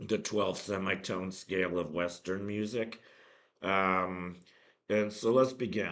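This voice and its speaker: Very deep and low, a man's voice moves at a very slow pace with fairly even intonation and audible room echo. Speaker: math educator. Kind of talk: lecture. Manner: halting, many fillers.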